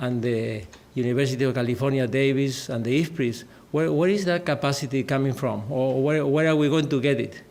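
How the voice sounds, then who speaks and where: A man speaks at a fairly high pitch, and audible room echo surrounds his voice. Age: 60s. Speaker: agricultural research director. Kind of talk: conference talk. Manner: halting.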